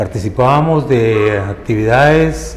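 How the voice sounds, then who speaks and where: A man talks with lively intonation amid audible room echo and noticeable background noise. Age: 70s. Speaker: former Red Cross volunteer. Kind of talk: testimony.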